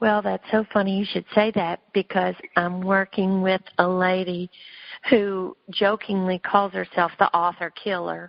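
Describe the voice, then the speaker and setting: A woman talks with a Southern accent at a medium pitch. Her delivery is fairly slow, with monotone, flat intonation. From US South, Memphis, Tennessee. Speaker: novelist. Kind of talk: interview.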